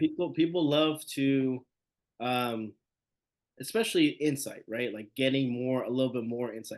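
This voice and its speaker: A man's normal speaking voice, medium in pitch, at a moderate pace with ordinary pitch variation. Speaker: podcast host. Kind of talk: casual podcast interview.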